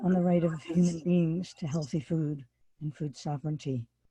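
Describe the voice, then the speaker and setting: This voice belongs to a woman. It has a somewhat breathy quality. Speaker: farmer and workshop presenter. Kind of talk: workshop lecture.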